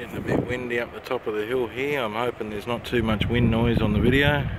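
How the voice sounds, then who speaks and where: Noticeable background noise sits behind a man speaking at a very fast pace and medium pitch, with fairly even intonation. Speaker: vlogger. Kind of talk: casual video tour narration. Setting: outdoors on a windy hill.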